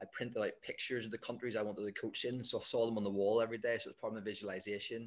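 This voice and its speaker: A man speaks with a Northern Irish accent at a very fast pace. His intonation is monotone and flat. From Northern Ireland. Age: 20s. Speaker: football coach. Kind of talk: casual interview.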